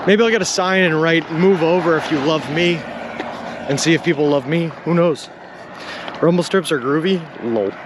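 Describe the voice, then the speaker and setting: Against noticeable background noise, a man with an American accent speaks at a high pitch, with very even loudness, ordinary pitch variation, and long, frequent pauses. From Boston area, Massachusetts (Lowell). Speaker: long-distance walker and live streamer. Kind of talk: live stream chat reading while walking. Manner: fast; casual, joking.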